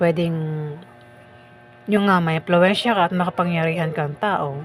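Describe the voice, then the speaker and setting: A woman's fairly low-pitched voice with fairly even intonation, music in the background. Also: moderate pace. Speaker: tarot reader. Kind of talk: tarot reading. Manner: casual, conversational. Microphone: mic far from mouth, no echo.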